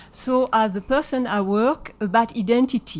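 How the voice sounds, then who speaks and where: Spoken at a fairly slow pace, the voice carries a French accent. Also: woman. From France, Marseille. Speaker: artist and therapist. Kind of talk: lecture. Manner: halting, many fillers.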